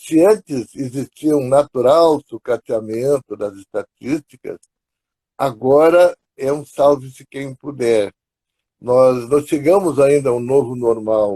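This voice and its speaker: A man's dark, mellow voice at a fairly high pitch, very slow pace and ordinary pitch variation, in dry, close sound with no echo. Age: 80s+. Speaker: psychologist. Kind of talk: live stream interview.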